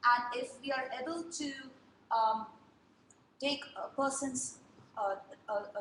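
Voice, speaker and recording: Ordinary pitch variation runs through a woman's high-pitched voice. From India. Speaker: design and technology speaker. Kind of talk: talk to a group. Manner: fast.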